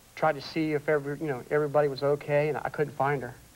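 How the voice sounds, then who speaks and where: A man at a fairly quick pace. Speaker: guest. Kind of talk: interview answer. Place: stage. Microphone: lapel.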